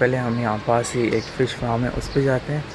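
Noticeable background noise sits behind a man speaking with monotone, flat intonation. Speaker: travel vlogger. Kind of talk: casual vlog chat. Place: open country. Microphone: phone near.

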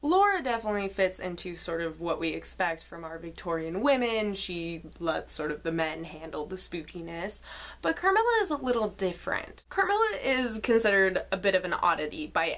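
A woman talks at a moderate pace. She hardly pauses at all. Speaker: book reviewer. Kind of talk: book review vlog. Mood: wry, lightly humorous. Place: home room. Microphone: webcam.

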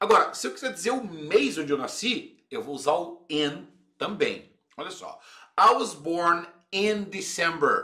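Over a quiet background, a man with a high pitch uses a raised, projected voice with a bright, sharp tone, an animated manner, lively intonation, big swings in loudness and a fairly slow pace. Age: 40s. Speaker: English teacher. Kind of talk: video lesson.

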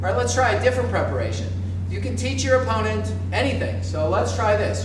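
Noticeable background noise and audible room echo surround a man speaking at a moderate pace in a very deep, low, monotone, flat voice. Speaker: fencing coach. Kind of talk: tutorial. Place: gym.

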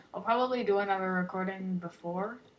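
With audible room echo, a woman speaks at a medium pitch and ordinary pitch variation. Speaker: gaming youtuber. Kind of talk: gameplay commentary. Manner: loud.

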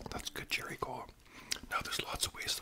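A man talks over loud background noise. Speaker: storyteller. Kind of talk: casual vlog storytelling while eating. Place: home room. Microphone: studio mic.

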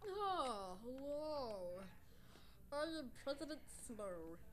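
In a put-on character voice that sounds female, the speaker talks at a very slow pace with a high pitch over clear background noise. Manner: put-on villain voice.

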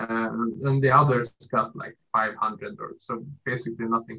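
The man's voice has a bright, sharp tone at medium pitch, and he talks at a moderate pace with fairly even intonation.

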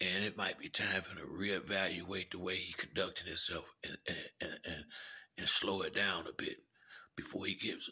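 A man is speaking with a fairly quick pace. Behind him, it is quiet. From US Midwest, Chicago. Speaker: YouTube commentator. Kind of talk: casual monologue rant. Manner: halting, repetitive. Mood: disapproving, earnest. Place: home room. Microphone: phone near.

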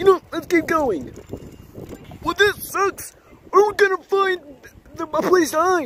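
This cartoonish character voice sits at an extremely high pitch. Long pauses come often. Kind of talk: playful kid puppet play. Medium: puppet show.

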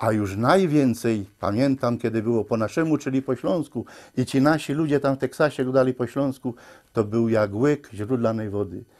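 With a Silesian accent, a man speaks at a moderate pace and ordinary pitch variation against a quiet background. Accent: Silesian Polish. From Upper Silesia, Poland. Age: 60s. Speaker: amateur filmmaker; interviewee. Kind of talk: interview testimony. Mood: nostalgic, heartfelt. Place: home room.

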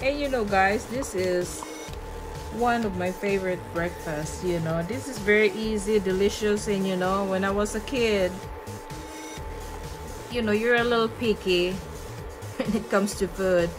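Clear music plays in the background while a woman talks at a moderate pace. Her pitch variation is ordinary, and she leaves long, frequent pauses. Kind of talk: cooking tutorial. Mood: warm, chatty, nostalgic. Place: kitchen.

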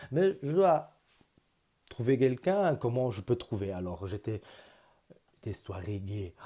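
A man with a non-native accent speaks very slowly in a dark, mellow tone, his pitch swinging very widely. He takes long, frequent pauses against a quiet background. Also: medium pitch for a man. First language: not French (speaking French). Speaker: vlogger. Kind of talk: personal vlog; personal vlog story. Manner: halting. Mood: earnest, personal, reflective. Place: home room. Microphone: earbuds.

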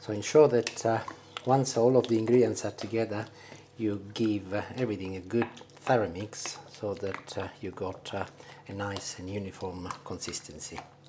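Noticeable background noise accompanies a man speaking at a moderate pace with a fairly low pitch and fairly even intonation. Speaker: home cook host. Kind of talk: tutorial. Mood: jovial, laughing. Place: kitchen. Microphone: lapel.

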